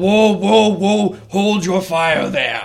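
The man uses a put-on character voice. It sits at a high pitch.

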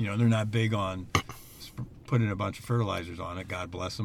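Very fast, somewhat breathy speech from a man at a fairly low pitch with fairly even intonation. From New Jersey. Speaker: farmer. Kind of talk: casual interview. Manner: hesitant, many fillers.

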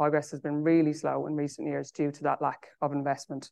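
Over a quiet background, a woman with an Irish accent speaks in a very deep, low, dark and mellow voice with monotone, flat intonation. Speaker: charity chief executive. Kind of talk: conference talk; panel discussion.

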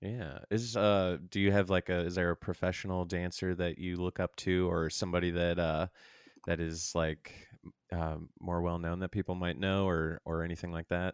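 In a very clean recording with a silent background and a dry, close sound with no echo, a man speaks with an American accent at a moderate pace. His very deep, low pitch holds a monotone, flat intonation. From St. Charles, Missouri, US. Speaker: podcast host. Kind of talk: casual interview.

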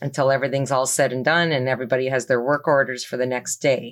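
On a very clean recording with a silent background, a woman with a slight Canadian accent speaks in a very deep, low pitch with monotone, flat intonation. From Toronto, Canada. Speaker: business owner. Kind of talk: interview.

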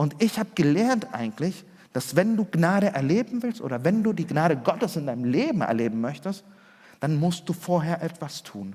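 Speaking at a moderate pace, a man with a high pitch makes very wide pitch swings. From Chile, then Germany from age 8. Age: 40s. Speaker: pastor. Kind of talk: sermon.

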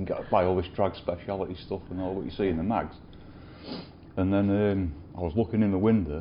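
In a Lincolnshire accent, a man talks at a fairly quick pace. His pitch is very deep and low. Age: 50s. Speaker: custom motorcycle builder. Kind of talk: interview. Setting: workshop.

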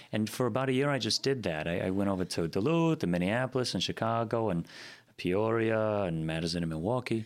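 On a very clean recording with a silent background, a man with a plain, everyday voice and a fairly low pitch talks at a fairly quick pace with lively intonation. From Green Bay, Wisconsin (after early years on the East Coast). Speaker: singer-songwriter and theater co-owner. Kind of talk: interview.

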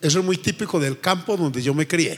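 Over noticeable background noise, a man with a high voice speaks at a fairly quick pace with ordinary pitch variation. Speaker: pastor. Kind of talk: sermon. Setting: church with congregation.

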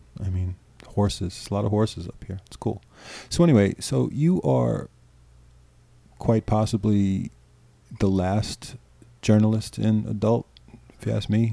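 In a very clean recording with a silent background, a man with an American accent and a dark, mellow, fairly low voice speaks at a fairly slow pace with lively intonation, long, frequent pauses and big swings in loudness. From New York. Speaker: adult film director. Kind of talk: casual interview. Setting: at his home.

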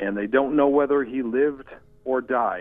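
An ordinary speaking voice: a man at a medium pitch and fairly slow pace. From Washington, D.C. area. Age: 50s. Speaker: historical researcher. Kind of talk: interview.

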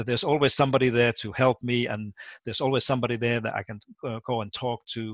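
A man with a Finnish accent at medium pitch and a fairly quick pace, with fairly even intonation, in a very clean recording that is dry and close with no echo against a silent background. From Finland. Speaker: education professor. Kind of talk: interview. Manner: halting, repeats words.

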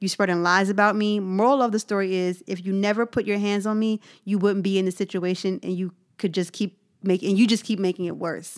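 Animated in tone, a woman speaks at medium pitch and a fairly quick pace. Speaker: podcast co-host. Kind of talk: casual chat.

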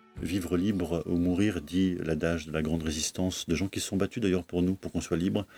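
Recorded very cleanly against a silent background, a man's very deep, low voice has a dark, mellow tone and a dry, close sound with no echo. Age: 40s. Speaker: bookseller. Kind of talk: interview. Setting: bookshop stockroom.

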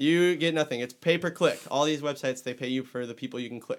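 A man at a very fast pace, with ordinary pitch variation. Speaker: podcast guest, baseball writer. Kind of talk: casual, joking.

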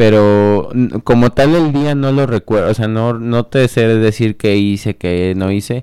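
A dark, mellow tone at a fairly slow pace, with ordinary pitch variation on a very clean recording with a silent background. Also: man. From Mexico, Celaya, Guanajuato. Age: 20s. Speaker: politician. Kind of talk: radio interview.

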